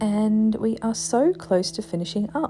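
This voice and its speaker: Soft-spoken and soothing in tone, the voice moves at a fairly slow pace over music in the background. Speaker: hobby maker. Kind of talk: ASMR craft tutorial narration. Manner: softly spoken, soothing.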